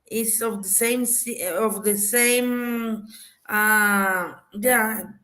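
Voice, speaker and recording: A flat, monotone delivery with audible room echo. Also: woman. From Mexico, Mexico City. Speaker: panelist. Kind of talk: casual chat. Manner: halting.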